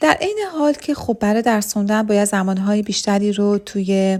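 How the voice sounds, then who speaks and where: Using a plain, everyday voice, a woman talks at a moderate speed with her pitch in the medium range. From Iran. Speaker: pharmacy technician promoting an online business. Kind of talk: sales pitch.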